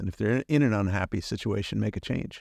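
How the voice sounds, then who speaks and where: A man with an ordinary speaking voice talks at a fairly quick pace and fairly low pitch. The sound is dry and close with no echo, and the background is quiet. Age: 60s. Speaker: podcast host and business owner, guest. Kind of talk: interview conversation.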